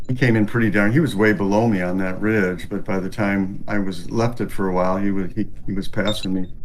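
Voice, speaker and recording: Fairly quick, fairly even speech from a man with a fairly low pitch, hardly any pauses and audible room echo. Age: 60s. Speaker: glider pilot in sim race. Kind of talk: casual chat.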